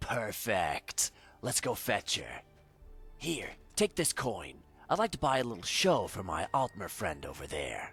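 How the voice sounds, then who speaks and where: Over faint music in the background, a man does a put-on character voice at medium pitch and a moderate pace. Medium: video game.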